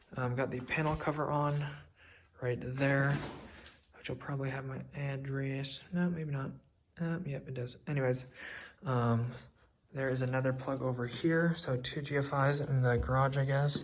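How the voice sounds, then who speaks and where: At a moderate pace broken by long, frequent pauses, a man speaks in a somewhat breathy voice with fairly high pitch and monotone, flat intonation, with audible room echo. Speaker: vlogger documenting own house build. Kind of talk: casual vlog walkthrough. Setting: inside a house under construction, window open. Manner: casual with many filler ums; quiet, keeping voice down.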